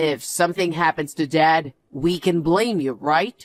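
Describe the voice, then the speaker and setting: A raspy, middle-pitched put-on character voice at a fairly slow pace. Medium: audio drama.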